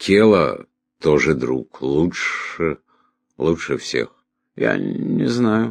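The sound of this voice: A man's put-on character voice, extremely low in pitch with vocal fry, big pitch swings and a very slow pace.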